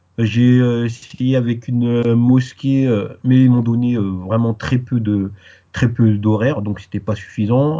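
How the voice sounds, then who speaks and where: A man's very slow delivery with fairly even intonation. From Paris, France, Guadeloupean parents. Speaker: Arabic language teacher. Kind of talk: interview. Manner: hesitant, many fillers.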